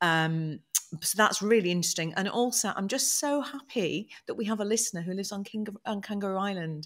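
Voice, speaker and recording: A woman with a British accent speaks at a fairly quick pace. Her medium pitch carries lively intonation. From UK. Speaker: podcast host. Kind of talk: casual chat.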